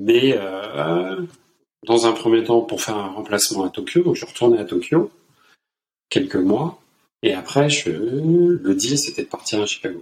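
Here a man talks at a medium pitch and a fairly slow pace. His speech has long, frequent pauses. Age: 60s. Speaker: finance director. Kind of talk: interview. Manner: halting.

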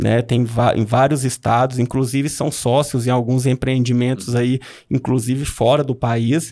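Over a very clean recording with a silent background, a man talks at a moderate pace with monotone, flat intonation. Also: medium pitch for a man. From Brazil, Minas Gerais (Noroeste Mineiro). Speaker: oncologist. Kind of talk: casual interview.

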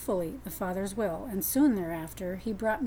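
An unforced reading voice is used for the whole clip.

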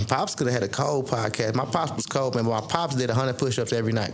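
Audible room echo surrounds the recording. A man talks at a very fast pace. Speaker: podcast host. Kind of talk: casual chat. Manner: freestyle, animated.

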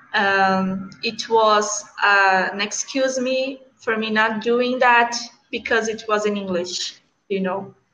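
A woman's bright, sharp voice with a Brazilian accent, very slow pace and fairly even intonation. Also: fairly high pitch for a woman. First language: Portuguese. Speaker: English learner. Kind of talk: conversation practice. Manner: halting.

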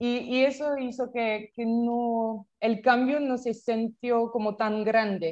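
At a very slow pace and with hardly any pauses, a woman with a French accent speaks at a fairly high pitch using fairly even intonation. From France. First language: French (speaking Spanish). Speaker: startup founder. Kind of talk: interview. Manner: halting, many repetitions.

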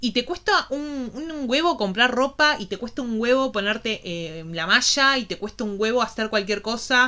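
With a Rioplatense accent, a woman speaks at a moderate pace in a high, bright, sharp tone with lively intonation. She leaves hardly any pauses. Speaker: podcast co-host. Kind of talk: casual chat.

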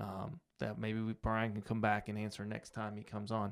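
In an American accent and an unremarkable speaking voice, a man talks at medium pitch and a moderate pace on a very clean recording with a silent background. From United States. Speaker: podcast host. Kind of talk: casual chat.

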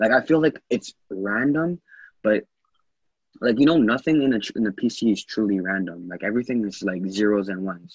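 With an unremarkable speaking voice, a man speaks at a moderate pace, fairly low in pitch, with lively intonation. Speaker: podcast guest. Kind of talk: casual chat. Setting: group call. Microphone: echo on the call.

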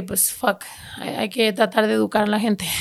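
A woman talks at a fairly quick pace. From California, Mexican-American. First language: bilingual English and Spanish (speaking Spanish). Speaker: rapper and podcaster. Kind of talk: casual interview chat. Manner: code-switching Spanglish.

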